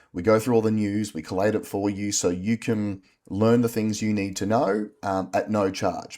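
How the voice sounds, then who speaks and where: A man with an Australian accent talks in a fairly low pitch and a dark, mellow tone, recorded very cleanly against a silent background. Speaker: podcast co-host. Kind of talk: casual chat.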